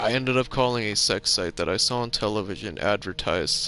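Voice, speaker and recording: A man's bright, sharp tone at a moderate pace. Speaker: gaming streamer. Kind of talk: casual chat. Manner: rambling, halting with restarts.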